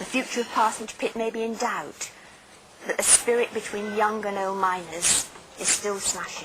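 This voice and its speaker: Fairly even intonation from a woman at a fairly high pitch, a moderate pace, and noticeable background noise throughout. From Leigh, Lancashire, England. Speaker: journalist and TV presenter. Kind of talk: documentary narration.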